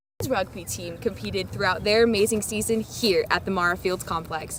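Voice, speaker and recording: Against noticeable background noise, a woman speaks at a fairly quick pace, her medium-pitched voice full of lively intonation. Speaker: student TV news reporter. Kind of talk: TV news report.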